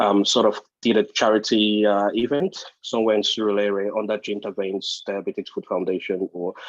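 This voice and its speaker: The speaker moves at a moderate pace with hardly any pauses and monotone, flat intonation, in a dry, close sound with no echo over a quiet background. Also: man. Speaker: podiatrist / wound care practitioner. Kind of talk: webinar discussion. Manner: halting, many fillers. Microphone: connection cut out.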